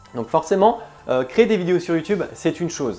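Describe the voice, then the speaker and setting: Background music plays throughout. A man speaks fairly quickly, his intonation lively. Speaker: YouTuber and freelance trainer. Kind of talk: vlog talk to camera.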